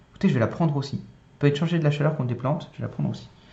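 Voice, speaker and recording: In a room with audible echo, a somewhat breathy man speaks at a fairly high pitch with ordinary pitch variation. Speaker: board game youtuber. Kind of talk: solo gameplay tutorial. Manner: casual, hesitant with many euh.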